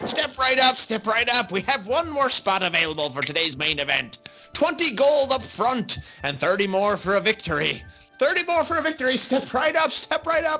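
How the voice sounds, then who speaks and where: Against clear background music, a man in a put-on character voice talks at a moderate pace, raspy and extremely high-pitched. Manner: screaming, shouting.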